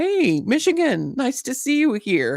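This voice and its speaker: The recording is very clean and dry, close and free of echo, with a silent background. A woman speaks with very wide swings in pitch. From Southern California. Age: 60s. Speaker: YouTuber hosting Bible study and chats. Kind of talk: casual livestream chat. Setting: live stream.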